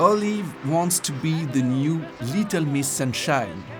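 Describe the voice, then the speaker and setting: Music plays in the background as a man with a French accent speaks. His pitch is fairly high and his pace fairly slow. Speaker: screenwriting video essayist. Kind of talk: video essay podcast narration.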